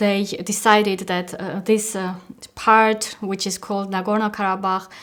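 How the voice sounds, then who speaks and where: A woman with an Armenian accent speaks at a medium pitch. Her delivery is fairly slow and monotone, with flat intonation. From Armenia, small city. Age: 40s. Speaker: peace activist. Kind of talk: interview testimony. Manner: halting, many fillers.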